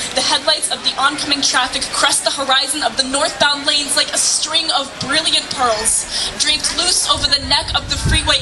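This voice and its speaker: Through noticeable background noise, a woman talks fairly quickly. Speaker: slam poet. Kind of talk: slam poetry performance. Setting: live outdoor event.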